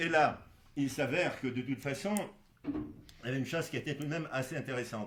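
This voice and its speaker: A somewhat breathy man talks at a fairly quick pace in a fairly high voice with ordinary pitch variation. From Poland (Galicia). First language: Polish (speaking French). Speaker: doctor. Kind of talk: interview. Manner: halting, many fillers.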